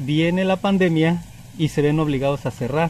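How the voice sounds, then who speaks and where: Somewhat breathy and fairly high in pitch, a man speaks at a fairly slow pace. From Mexico, Morelos and Puebla. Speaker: hotel owner. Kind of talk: radio interview. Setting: outdoors by a hotel pool.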